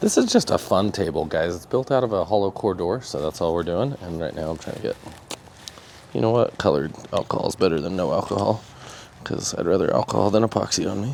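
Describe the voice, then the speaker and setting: A man talks at a very fast pace with a fairly low pitch and lively intonation. Noticeable background noise is present. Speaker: epoxy craftsman and live stream host. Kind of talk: livestream craft demo with chat. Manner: casual and chatty.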